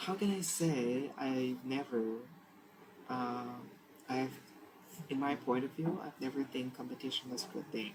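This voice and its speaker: Noticeable background noise sits under fairly slow speech broken by long, frequent pauses. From Vietnam. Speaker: English learner. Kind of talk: speaking practice monologue. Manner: halting.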